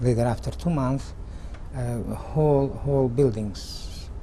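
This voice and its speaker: Noticeable noise runs behind a man as he talks at a very slow pace. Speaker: Holocaust survivor. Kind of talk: oral history interview answer. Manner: hesitant, halting.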